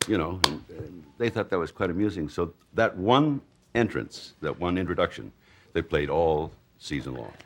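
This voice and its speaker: A man with an American accent, a very deep, low pitch, lively intonation, vocal fry and a moderate pace. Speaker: announcer, voice-over artist. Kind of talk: interview answer.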